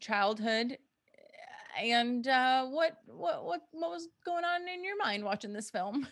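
Very wide pitch swings in a bright, sharp tone. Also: woman. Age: 30s. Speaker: podcast co-host. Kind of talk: casual chat. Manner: animated.

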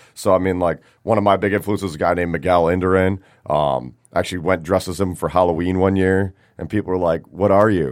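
A man with an American accent talks at a very fast pace. His very deep, low voice keeps fairly even intonation. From Michigan, Detroit area (Rochester). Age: 30s. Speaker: bike shop owner and cycling racer. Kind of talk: casual interview chat. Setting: studio.

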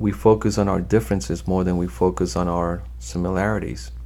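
At a fairly slow pace, a man speaks in a very deep, low pitch with a dark, mellow tone, vocal fry and very wide pitch swings. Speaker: trial lawyer. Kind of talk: interview, telling case stories.

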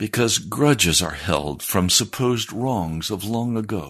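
Against a quiet background, a man with an American accent speaks very slowly at a fairly low pitch with lively intonation. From United States. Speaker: radio preacher. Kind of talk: sermon. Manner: serious.

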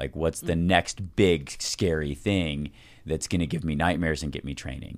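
Very deep and low, a man's voice carries vocal fry. He keeps a moderate pace and fairly even intonation. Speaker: endurance athlete and ski mountaineering racer. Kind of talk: casual interview conversation.

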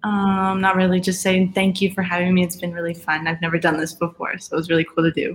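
Talking very fast with hardly any pauses, a woman with an American accent uses a medium pitch, flat monotone intonation and a somewhat breathy voice. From Colorado, Aurora. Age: 20s. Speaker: college soccer player. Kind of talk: casual interview.

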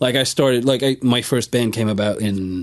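At a moderate pace, a man talks with a Swedish accent. His pitch is medium, with ordinary variation. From Sweden. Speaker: musician. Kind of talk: casual chat. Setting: studio.

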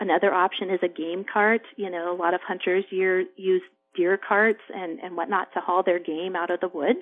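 In a plain, everyday voice, a woman with an American accent speaks at a moderate pace and medium pitch, her intonation fairly even. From rural farming region, US. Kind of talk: interview.

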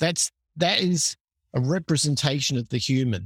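A man's somewhat breathy voice at a moderate pace, with lively intonation and a dry, close sound with no echo. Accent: American. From Australia, Adelaide. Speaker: entrepreneur. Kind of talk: interview.

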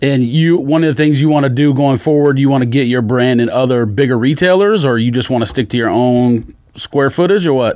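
Here is a man with an American accent and a normal speaking voice, at a medium pitch with ordinary pitch variation. He talks at a fairly quick pace with hardly any pauses and very even loudness. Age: 40s. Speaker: sneaker podcast co-host. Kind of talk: casual chat.

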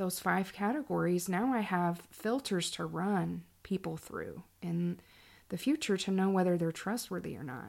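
In a plain, everyday voice, a woman speaks at a moderate pace and a medium pitch. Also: ordinary pitch variation. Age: 40s. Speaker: podcast host. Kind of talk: casual monologue, personal testimony and book reading.

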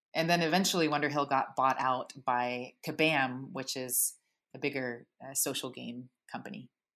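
Over a quiet background, a woman with an American accent speaks at a very deep, low pitch, with ordinary pitch variation and big swings in loudness. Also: moderate pace. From Texas. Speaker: animation story artist. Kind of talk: interview.

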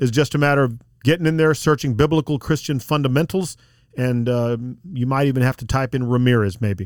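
A man with an American accent talks at a fairly quick pace in an ordinary speaking voice, with medium pitch and ordinary pitch variation. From South Texas. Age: 50s. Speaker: lawyer and Bible teacher. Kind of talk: podcast interview.

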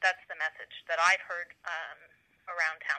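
With an Ontario accent, a woman speaks at a moderate pace in a fairly low, bright and sharp voice, her intonation monotone and flat, the sound dry and close with no echo. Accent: Canadian (Ontario). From Cobourg, Ontario, Canada. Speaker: lawyer and political candidate. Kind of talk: interview.

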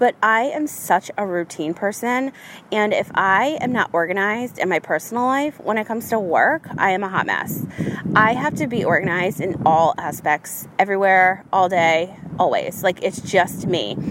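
The intonation is lively. Noticeable background noise sits behind it. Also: woman, medium pitch for a woman, moderate pace. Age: 40s. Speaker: podcast host and business coach. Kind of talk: casual monologue.

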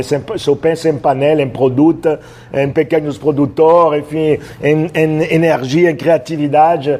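Amid noticeable background noise, a man with a French accent speaks at a fairly high pitch. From France, Roanne. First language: French (speaking Portuguese). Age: 60s. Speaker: chef. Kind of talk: casual interview.

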